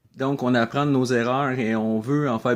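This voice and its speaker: A man with a Quebec accent, medium in pitch, with fairly even intonation and a fairly slow pace. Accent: Québécois French. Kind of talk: video blog talk.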